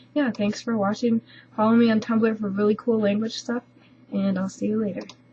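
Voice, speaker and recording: Fairly quick, monotone speech from a woman with a fairly high pitch, flat intonation and noticeable background noise. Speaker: language learner vlogger. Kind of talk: casual video update. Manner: hesitant, many fillers.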